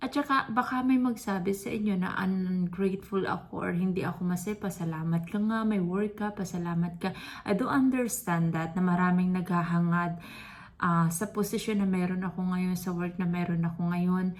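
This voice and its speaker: Moderate pace from a woman, her voice somewhat breathy. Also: medium pitch for a woman, ordinary pitch variation. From Philippines. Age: 30s. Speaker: vlogger. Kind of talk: personal vlog monologue.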